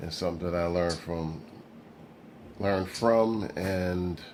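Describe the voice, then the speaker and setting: Audible room echo surrounds a man with a very deep, low pitch. He speaks at a very slow pace in a monotone, flat intonation. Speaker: model railroad hobbyist vlogger. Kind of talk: casual vlog. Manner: rambling, halting; slurring speech.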